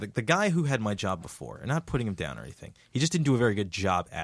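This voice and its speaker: Speaking at a very fast pace with an American accent, a man has a medium pitch and vocal fry. His pitch swings very widely, and the recording is very clean with a silent background. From New Jersey, Jersey City. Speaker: freelance filmmaker and video producer. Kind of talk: casual chat. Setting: studio.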